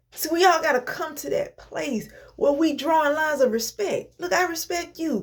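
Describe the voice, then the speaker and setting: With music in the background, a woman speaks in an animated tone at a high pitch and a moderate pace. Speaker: inspirational vlogger. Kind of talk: motivational talk. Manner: stutter.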